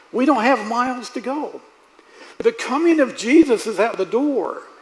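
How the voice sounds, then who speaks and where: Over noticeable background noise, a man talks at a moderate pace with an extremely high pitch and ordinary pitch variation. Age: 70s. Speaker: preacher. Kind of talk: sermon. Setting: church.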